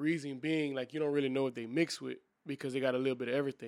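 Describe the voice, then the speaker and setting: A man's voice sits at a medium pitch, his intonation fairly even. The recording is very clean and the background is silent. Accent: south Louisiana. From Louisiana, New Iberia. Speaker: podcast co-host. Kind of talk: casual chat.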